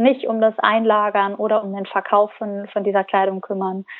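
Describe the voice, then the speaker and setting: The woman's voice sits fairly high in pitch and moves at a moderate pace. Her intonation is monotone and flat. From Germany, Cologne. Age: 20s. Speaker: founder of a fashion rental startup. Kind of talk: interview. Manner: halting, many fillers.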